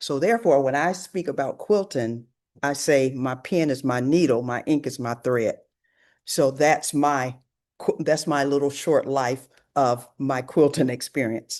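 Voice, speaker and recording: Against a quiet background, a woman with an American accent speaks fairly slowly in a very deep, low pitch with ordinary pitch variation. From US South, rural Alabama. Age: 70s. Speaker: author and storyteller. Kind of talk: talk presentation.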